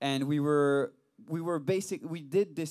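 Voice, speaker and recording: This is a man speaking with a French accent. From France. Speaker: rock band singer and bassist. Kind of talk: casual interview. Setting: studio.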